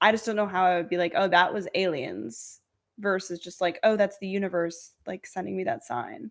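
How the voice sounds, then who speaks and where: On a very clean recording with a silent background, a woman with an American accent speaks at a moderate pace and medium pitch, with lively intonation and vocal fry. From Connecticut. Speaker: podcast guest. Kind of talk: casual chat.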